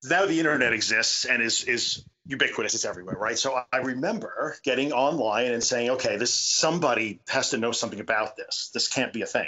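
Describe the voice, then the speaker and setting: A man speaks at a fairly quick pace in a New York accent, with hardly any pauses. His pitch sits in the middle range and moves with ordinary variation. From US Northeast, Long Island. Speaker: support group founder. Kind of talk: podcast interview. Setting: video call. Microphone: choppy, quiet remote recording.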